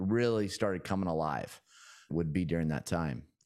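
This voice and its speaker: A man with an American accent and an energetic tone. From US Pacific Northwest (small town in Oregon). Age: 40s. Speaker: real estate investor and land developer. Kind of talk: podcast interview, storytelling. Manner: energetic, conversational with frequent fillers.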